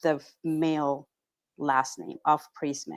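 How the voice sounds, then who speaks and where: Her pitch very deep and low, a woman with a Spanish accent speaks with fairly even intonation in a very clean recording with a silent background. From Peru, Pacific coast. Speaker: real estate agent. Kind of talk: casual chat. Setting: podcast interview.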